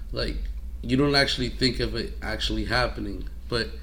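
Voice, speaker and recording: This man speaks at a moderate speed, and audible room echo can be heard around him. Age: 20s. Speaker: podcast co-host. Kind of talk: casual chat.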